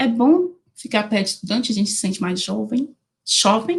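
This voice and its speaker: A woman speaks with a Minas Gerais accent and a fairly high pitch. Her intonation is lively. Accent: mineiro Brazilian Portuguese. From Brazil, Minas Gerais (Diamantina, Jequitinhonha valley). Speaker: animal science researcher and lecturer. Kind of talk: online lecture. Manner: casual, informal.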